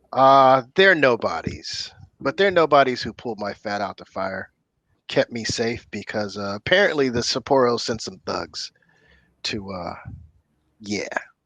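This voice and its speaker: Putting on a character voice, a man talks at a moderate pace and medium pitch with a raspy sound. His intonation is lively, and he takes long, frequent pauses. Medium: actual play. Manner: nervous, eager to please.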